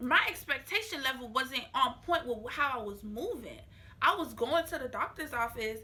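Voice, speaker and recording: A woman's high, raised, projected voice with lively intonation against noticeable background noise. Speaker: vlogger. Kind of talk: casual vlog talk to camera. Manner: talking slower because of new braces.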